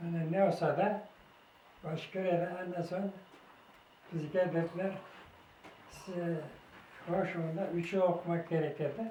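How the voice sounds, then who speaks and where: Fairly slow delivery with long, frequent pauses and monotone, flat intonation, plus noticeable background noise and audible room echo. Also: man, high pitch for a man. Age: 90s. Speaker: war veteran. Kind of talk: testimony. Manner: halting.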